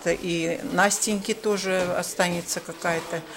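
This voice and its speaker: Noticeable background noise sits behind a woman who talks at a very slow pace with ordinary pitch variation. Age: old. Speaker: amateur actress with visual impairment. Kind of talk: interview.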